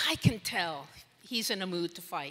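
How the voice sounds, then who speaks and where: A woman with a bright, sharp tone speaks fairly slowly with lively intonation. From Puerto Rico. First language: Spanish. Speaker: former intelligence analyst, speaker. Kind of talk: conference talk. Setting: stage with audience. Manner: conversational, with many fillers.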